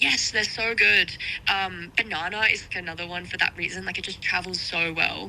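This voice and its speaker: A woman's fairly low voice in an Australian accent, at a moderate pace with ordinary pitch variation, over noticeable background noise. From Australia, small town near Sydney. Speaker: electronic music artist. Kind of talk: radio interview. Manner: casual, many fillers.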